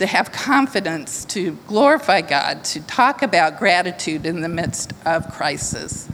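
Over noticeable background noise, a woman speaks at a fairly slow pace. Her pitch swings very widely. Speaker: church member giving testimony. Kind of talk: testimony.

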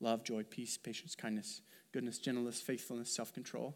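A man talks at a fairly quick pace and medium pitch in an ordinary speaking voice, on a very clean recording with a silent background. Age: 30s. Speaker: pastor. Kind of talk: sermon.

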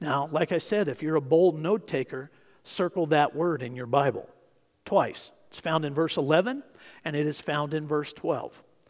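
The speaker is a man with a plain, everyday voice. His pitch is fairly high and his pace fairly slow. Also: ordinary pitch variation. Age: 50s. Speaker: pastor. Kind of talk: sermon.

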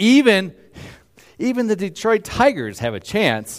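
A man at a very slow pace, captured in a very clean recording with a silent background. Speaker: pastor. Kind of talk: sermon.

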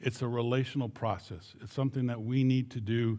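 Recorded very cleanly over a silent background, a man with an American accent talks at medium pitch in a dark, mellow tone. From southern Minnesota. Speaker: missionary. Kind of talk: church mission presentation.

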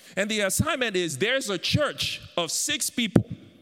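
The voice has an animated tone with very wide pitch swings. Noticeable background noise is present. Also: man. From Africa. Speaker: guest preacher. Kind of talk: sermon.

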